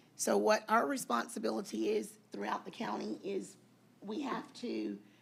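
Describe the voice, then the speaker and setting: Her delivery moves at a middling speed. There's a clear layer of background noise throughout. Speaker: county chief appraiser. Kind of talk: public meeting presentation. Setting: county board meeting.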